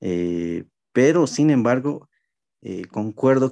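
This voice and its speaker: A man's dark, mellow tone. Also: quiet background. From Bolivia (La Paz). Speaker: pastor. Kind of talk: casual chat.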